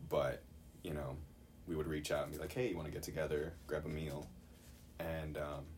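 With an American accent, the speaker talks at a fairly quick pace in a somewhat breathy voice, with audible room echo. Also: man. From Chicago. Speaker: Bible college student. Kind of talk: casual chat.

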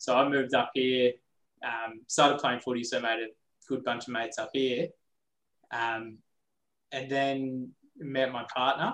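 A man speaks at a medium pitch with an Australian accent and a monotone, flat intonation. His pace is fairly slow, with long, frequent pauses. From Australia, Coffs Harbour NSW. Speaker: lawyer and business partner. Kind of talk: casual interview chat.

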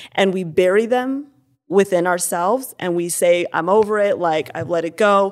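A woman talks in a normal speaking voice. Her pitch sits in the medium range, with ordinary variation. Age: 20s. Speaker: church ministry worker. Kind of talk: interview.

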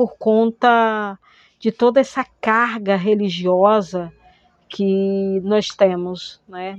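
At a very slow pace, a woman talks at a medium pitch. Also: dry, close sound with no echo. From Manaus, Amazonas, northern Brazil. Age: 50s. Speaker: historian, theatre actress and arts educator. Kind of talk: personal testimony. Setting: recorded at home.

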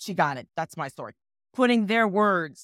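In an American accent, a woman talks at a moderate pace with ordinary pitch variation, recorded very cleanly with a silent background and a dry, close sound with no echo. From New York. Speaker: actress. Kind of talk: interview. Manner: precise diction.

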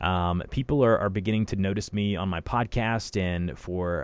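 Ordinary pitch variation marks a man's unremarkable speaking voice. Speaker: podcast host. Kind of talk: interview conversation. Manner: rambling, filler words.

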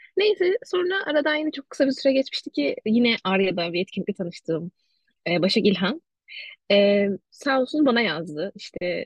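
A somewhat breathy woman's voice at a moderate pace, with very wide pitch swings. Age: 20s. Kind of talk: casual interview chat.

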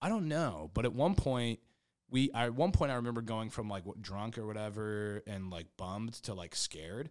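An unremarkable speaking voice, a man at medium pitch with an American accent, moderate pace, on a very clean recording with a silent background. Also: lively intonation. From Kansas. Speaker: stand-up comedian. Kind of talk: casual chat.

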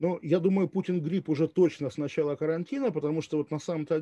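A man talks at a moderate pace with a dark, mellow tone. The sound is dry and close, with no echo. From Russia, Kaliningrad. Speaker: journalist. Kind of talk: interview.

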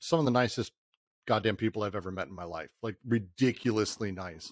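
A man speaks in a normal speaking voice at medium pitch with an American accent. His pace is moderate. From Colorado, Denver. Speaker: video game company CEO. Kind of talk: casual chat.

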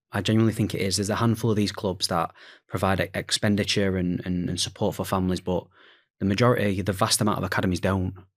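Speech in a Yorkshire accent comes at a very fast pace with monotone, flat intonation. The recording is very clean, with a silent background. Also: man, fairly low pitch for a man. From Sheffield, England. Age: 20s. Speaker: football academy recruitment manager. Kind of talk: casual discussion.

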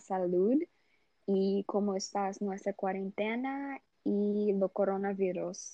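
In a Portuguese accent, a woman speaks very slowly with a dark, mellow tone. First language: Portuguese (speaking Spanish). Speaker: university student. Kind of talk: casual chat. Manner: halting.

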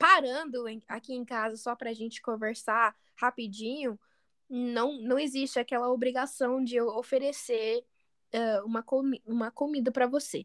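A woman with a high voice speaks at a fairly slow pace with ordinary pitch variation, in a very clean recording with a silent background and a dry, close sound with no echo. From United States. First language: English (speaking Portuguese). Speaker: podcast co-host, Portuguese teacher. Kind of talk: casual chat. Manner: halting, many fillers and repeats.

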